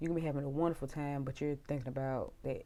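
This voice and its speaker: A woman's dark, mellow tone at a very deep, low pitch, with fairly even intonation. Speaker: tarot reader. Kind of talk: tarot reading. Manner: casual, conversational.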